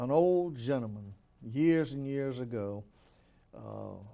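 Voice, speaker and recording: On a very clean recording with no background sound, the tone is dark and mellow. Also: man. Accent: Alabama. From Alabama, Elmore County. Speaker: city mayor. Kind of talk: interview. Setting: studio.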